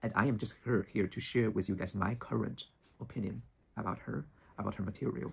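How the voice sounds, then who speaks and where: In a Chinese accent, a man with vocal fry talks at a fairly quick pace, his fairly low pitch showing ordinary variation. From China. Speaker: spiritual teacher, YouTuber. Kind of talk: personal opinion monologue. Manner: halting, with fillers.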